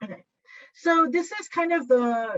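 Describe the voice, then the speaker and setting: The woman speaks with a Japanese accent at a fairly slow pace. Her sound is dry and close, with no echo. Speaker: workshop presenter, teacher trainer. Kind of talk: workshop presentation. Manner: hesitant, with fillers.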